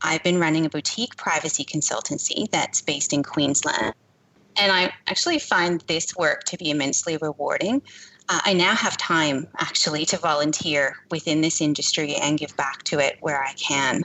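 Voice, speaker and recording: A woman speaks at a very deep, low pitch and a moderate pace, her loudness very even and her intonation fairly even. Noticeable background noise sits underneath. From Canada. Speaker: privacy consultant. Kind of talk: interview.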